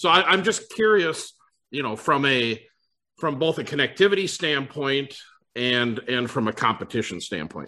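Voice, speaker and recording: Moderate pace and lively intonation from a man at a fairly high pitch, bright and sharp in tone, with an Upper Midwest accent. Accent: Upper Midwest American. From US Upper Midwest. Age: 50s. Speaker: internet provider executive. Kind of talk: casual chat.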